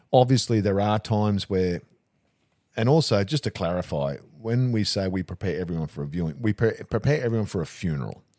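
Lively in intonation and dark, mellow in tone, a man with an Australian accent speaks at a fairly low pitch, the sound dry and close with no echo on a very clean recording with a silent background. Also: fairly quick pace. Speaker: funeral director. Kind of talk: casual chat.

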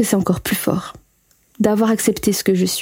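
Somewhat breathy, a woman speaks at a fairly quick pace and medium pitch with fairly even intonation. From Belgium. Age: 20s. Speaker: former Jehovah's Witness sharing her story. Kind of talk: personal testimony.

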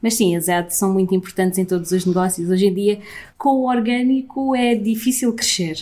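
Her loudness is very even as a woman talks at a moderate pace with a dark, mellow tone. She speaks at medium pitch with ordinary pitch variation. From Portugal. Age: 30s. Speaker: entrepreneur. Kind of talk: interview. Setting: office.

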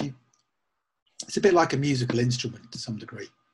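A somewhat breathy male voice at a very fast pace. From England, Northampton. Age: 50s. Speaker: photographer. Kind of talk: casual chat.

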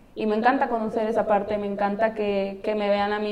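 A woman talks at a fairly quick pace in a medium pitch. Her intonation stays monotone and flat. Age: 30s. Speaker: professional footballer. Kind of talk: interview.

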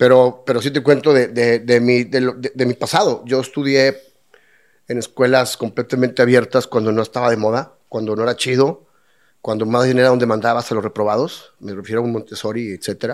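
At a moderate pace, a man with a Mexican accent speaks at a medium pitch with fairly even intonation. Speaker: lawyer turned brewer and restaurateur. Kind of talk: casual interview chat. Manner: halting, many repetitions.

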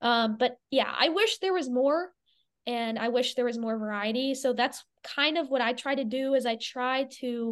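A woman with an American accent speaks at a moderate pace over a quiet background. Her high voice keeps fairly even intonation. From Florida, Clearwater. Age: young. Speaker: card collector and content creator. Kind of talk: casual interview.

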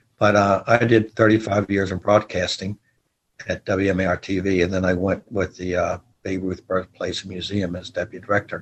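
In an American accent, a man speaks somewhat breathily at a fairly low pitch, his intonation flat and monotone. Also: moderate pace. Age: 70s. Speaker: marching band leader and sports historian. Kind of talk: interview.

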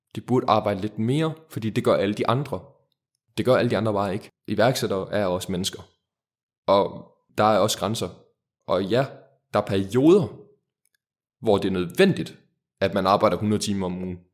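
A man with fairly low pitch, ordinary pitch variation and long, frequent pauses. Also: moderate pace. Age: 20s. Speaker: startup founder. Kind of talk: interview.

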